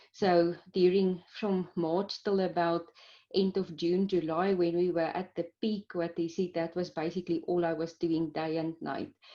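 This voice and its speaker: A woman speaks in a Pretoria accent at a fairly low pitch. Her delivery is monotone and flat, at a fairly slow pace. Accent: Pretoria South African. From South Africa, Pretoria. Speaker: clinical microbiologist. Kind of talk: interview. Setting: video call.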